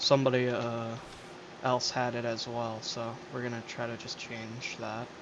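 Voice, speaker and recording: The tone is relaxed, with monotone, flat intonation at a fairly slow pace. Audible room echo and noticeable background noise are present. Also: man, medium pitch for a man. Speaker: gaming streamer. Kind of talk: casual gameplay commentary. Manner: hesitant, many fillers.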